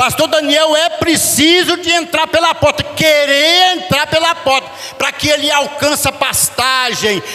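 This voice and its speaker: Amid noticeable background noise, a man uses a raised, projected voice at an extremely high pitch, keeping very even loudness, fairly even intonation and a fairly slow pace. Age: 70s. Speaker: preacher. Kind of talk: sermon. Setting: church.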